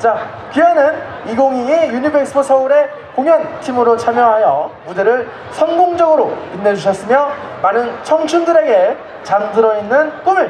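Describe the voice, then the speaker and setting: A woman's animated, playful voice at a moderate pace, with audible room echo and light background noise. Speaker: event emcee. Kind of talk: live event hosting. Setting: outdoor stage with audience. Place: stage. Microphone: handheld.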